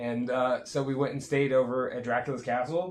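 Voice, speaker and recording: There is noticeable background noise throughout. The talking proceeds at a moderate pace. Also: man. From Jamaica and Miami, Florida. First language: Jamaican Patois. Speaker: podcast host. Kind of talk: casual chat.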